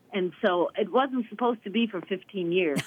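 With lively intonation, a woman talks at a medium pitch in an ordinary speaking voice. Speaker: choir conductor, retired music teacher. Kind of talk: radio interview. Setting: phone call. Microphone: telephone line.

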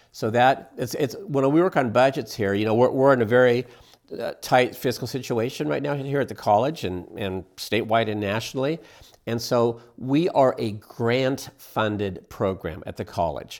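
Using an American accent, a man talks at a moderate pace and a medium pitch with ordinary pitch variation. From Astoria, Oregon, US Pacific Northwest. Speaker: small business development center director. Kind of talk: radio interview.

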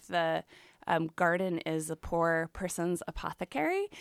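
A woman's plain, everyday voice with an American accent, fairly slow, with ordinary pitch variation, on a very clean recording with a silent background. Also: dry, close sound with no echo. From US Midwest, Chicago area. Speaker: author and English professor. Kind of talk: radio interview.

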